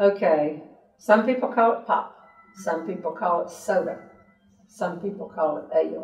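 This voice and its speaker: At a moderate pace with long, frequent pauses, a woman speaks with a Southern US accent at medium pitch and ordinary pitch variation, in audible room echo against a quiet background. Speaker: humorist. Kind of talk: interview answer. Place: home room. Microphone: camera far.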